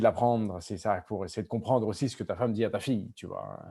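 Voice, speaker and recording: Listen to a man with a fairly low pitch. His tone is dark and mellow. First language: Spanish (speaking French). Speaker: novelist. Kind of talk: school Q&A conversation. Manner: halting with many repetitions.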